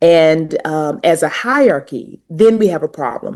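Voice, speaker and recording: A woman's dark, mellow tone in a strong Southern US accent at a fairly slow pace. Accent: pronounced Southern US. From US South, North Carolina. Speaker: university administrator and language educator. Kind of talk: podcast interview.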